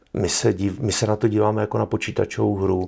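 Very fast speech from a man, with a quiet background. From Czech Republic. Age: 60s. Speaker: military analyst. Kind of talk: interview. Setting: studio. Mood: serious, earnest. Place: studio.

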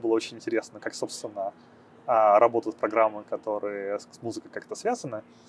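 A man speaks at a fairly quick pace in a medium pitch, with monotone, flat intonation and light background noise. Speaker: programmer and startup founder. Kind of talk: interview; interview answer. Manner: hesitant, many filler sounds. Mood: calm, friendly. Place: street. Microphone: lapel.

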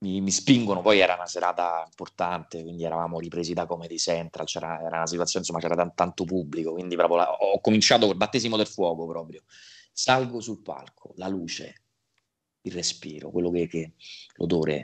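Against a quiet background, a man with a very deep, low voice speaks at a moderate pace with ordinary pitch variation. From Italy. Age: 20s. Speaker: voice actor. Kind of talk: interview. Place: home room. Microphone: video call.

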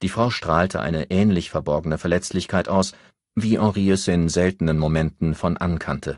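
With ordinary pitch variation, a man speaks at a moderate pace in a low pitch on a very clean recording with a silent background.

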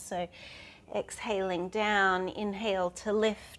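Very slowly, a woman gets her words out. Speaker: yoga teacher. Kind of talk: guided yoga instruction. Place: garden. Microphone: lapel.

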